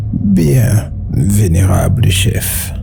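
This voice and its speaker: Someone performs a put-on character voice over loud background noise. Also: man, very deep, low pitch for a man. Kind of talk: ceremonial court speech. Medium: audio drama. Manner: formal, deferential.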